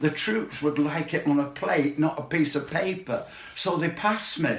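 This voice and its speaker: With a Mancunian accent, a man speaks at a moderate pace and fairly high pitch with ordinary pitch variation, over noticeable background noise. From Manchester, northern England. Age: 80s+. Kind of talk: testimony.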